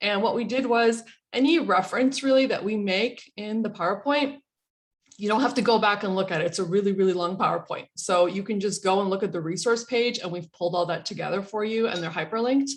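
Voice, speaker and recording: At a very fast pace, a woman talks at medium pitch with ordinary pitch variation. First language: not English. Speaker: college dean. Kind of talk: keynote presentation. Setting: online video conference.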